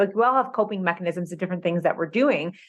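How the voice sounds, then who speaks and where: A woman uses a normal speaking voice at a medium pitch with ordinary pitch variation. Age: 30s. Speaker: nutritionist and personal trainer. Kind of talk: casual interview chat.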